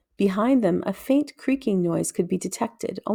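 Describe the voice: Lively intonation over plain reading aloud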